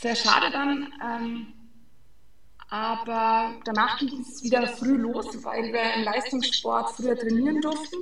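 A fairly high-pitched woman speaks very slowly with fairly even intonation, with noticeable background noise and audible room echo. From Franconia, Germany (Fränkisches Seenland). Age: 20s. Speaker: sports physiotherapist. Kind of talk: interview.

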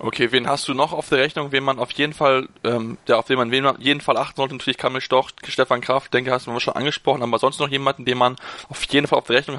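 A man's bright, sharp tone at a very fast pace, with monotone, flat intonation and a dry, close sound with no echo. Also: hardly any pauses. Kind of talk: casual chat.

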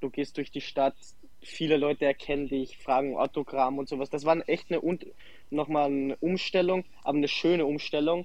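Here a man talks at a moderate pace with fairly even intonation. His pitch is fairly high for a man. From Austria, Salzburg. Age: 20s. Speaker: professional footballer. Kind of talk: interview. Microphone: connection problems.

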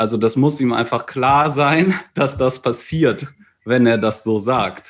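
A man speaks at a very slow pace with very even loudness. His pitch variation is ordinary. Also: medium pitch for a man. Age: 30s. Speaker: maths and physics teacher. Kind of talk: casual chat.

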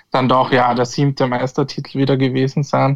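In an Austrian accent, a man with a fairly high pitch speaks at a moderate pace in a monotone, flat intonation. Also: dry, close sound with no echo. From Austria, Tulln (Lower Austria). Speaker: football pundit. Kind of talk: casual chat. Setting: remote call.

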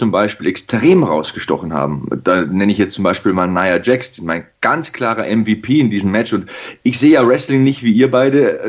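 A man is talking at medium pitch. His pace is moderate. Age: 30s. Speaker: wrestling TV commentator. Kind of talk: casual chat.

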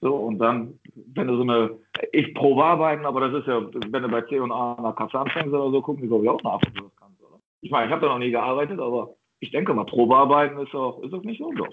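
A man at medium pitch talks very fast, with ordinary variation in his pitch. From Ruhr area, Germany. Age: 40s. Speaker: football coach. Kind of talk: interview. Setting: video call. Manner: halting, many fillers and repetitions.

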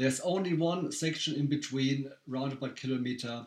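A German accent at a moderate pace, with fairly even intonation. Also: man. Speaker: race director. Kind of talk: casual chat. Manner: halting.

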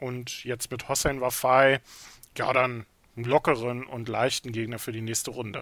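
A man's medium-pitched, monotone, flat delivery at a fairly slow pace, broken by long, frequent pauses. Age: 30s. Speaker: snooker podcast co-host. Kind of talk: casual sports discussion.

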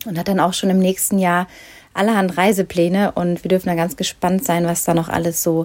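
Her tone is dark and mellow, set at a medium pitch. The woman talks at a moderate pace. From Ruhr area, Germany. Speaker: podcast host, running coach. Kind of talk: interview. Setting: video call.

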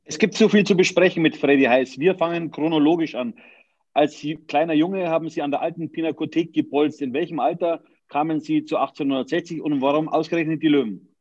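This man has an unremarkable speaking voice, fairly high in pitch, with ordinary pitch variation and a fairly quick pace. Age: 40s. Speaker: podcast host. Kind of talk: interview.

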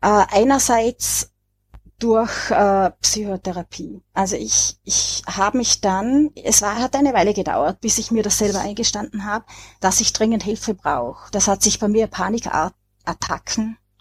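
With an Austrian accent and vocal fry, a woman of medium pitch speaks at a fairly slow pace with ordinary pitch variation, the sound dry and close with no echo. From Austria, Vorarlberg. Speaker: author, depression survivor. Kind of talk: podcast discussion.

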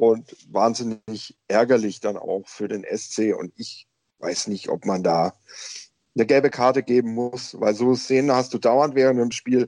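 A man's dark, mellow voice at medium pitch, fairly slow and fairly even in intonation, in a dry, close sound with no echo. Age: young. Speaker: football podcast panelist, referee expert. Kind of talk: casual chat.

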